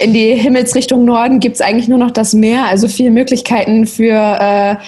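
A woman's dark, mellow tone, somewhat breathy. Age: 20s. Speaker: social media creator. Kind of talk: interview.

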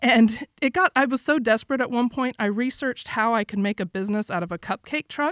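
In an American accent, a woman with a high pitch talks at a fairly quick pace with hardly any pauses, in a very clean recording with a silent background and a dry, close sound with no echo. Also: ordinary pitch variation. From Florida, US. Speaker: immigration lawyer. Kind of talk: interview.

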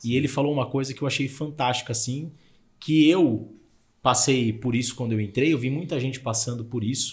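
Ordinary shifts in pitch come with a slight breathiness in the voice. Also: man. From Brazil, São Paulo (Zona Leste). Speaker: podcast host, real estate. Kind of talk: casual chat.

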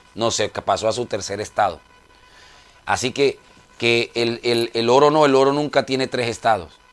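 A man's pitch varies in an ordinary way while music sits in the background. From Colombia. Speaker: preacher. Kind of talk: sermon. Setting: radio broadcast.

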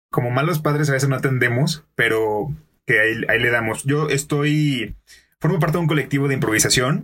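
A man with a Mexican accent talks at a fairly quick pace in a fairly high pitch, with ordinary pitch variation and very even loudness. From Mexico, Colima. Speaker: podcaster and improv performer. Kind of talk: casual chat. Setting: studio.

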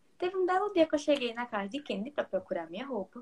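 Very fast speech comes from a woman. The pitch of her voice swings very widely. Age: 20s. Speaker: psychology student. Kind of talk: casual chat.

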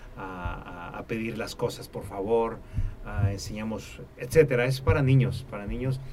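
At a fairly slow pace, the voice shows ordinary pitch variation and big swings in loudness, with audible room echo. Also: man, medium pitch for a man. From Mexico, Tampico, Tamaulipas. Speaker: musician and music producer. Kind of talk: interview. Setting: studio.

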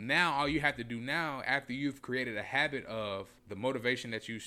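A man speaks in a normal speaking voice with an American accent, using a medium pitch, ordinary pitch variation and a moderate pace. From Indianapolis, Indiana, US Midwest. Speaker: podcast co-host, business owner. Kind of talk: casual chat.

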